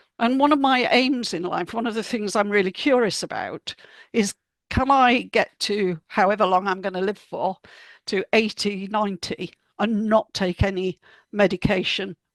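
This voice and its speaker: A woman speaks at a medium pitch and a moderate pace with ordinary pitch variation. The sound is dry and close with no echo, over a quiet background. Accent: British. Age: 70s. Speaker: health author and speaker. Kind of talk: talk to a group.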